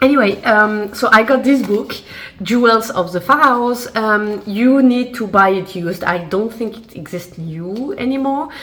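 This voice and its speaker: A woman with a French accent speaks at a fairly slow pace and fairly high pitch, with ordinary pitch variation and big swings in loudness. Noticeable background noise and audible room echo fill the recording. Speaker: lifestyle vlogger. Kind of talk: casual haul video. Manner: casual, hesitant with fillers.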